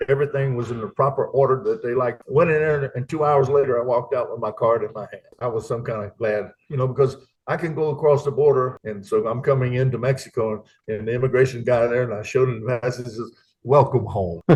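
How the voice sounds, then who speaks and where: A man with a Louisiana accent, somewhat breathy, at medium pitch, with fairly even intonation and a very fast pace. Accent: US Southern (Louisiana). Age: 70s. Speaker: retired expat, Air Force veteran. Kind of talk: interview.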